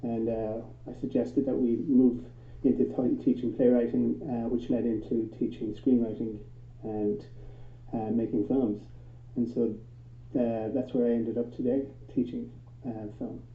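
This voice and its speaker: A man with an Irish accent, medium pitch, fairly even intonation, moderate pace, long, frequent pauses and audible room echo. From Ireland. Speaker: film teacher. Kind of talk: panel discussion.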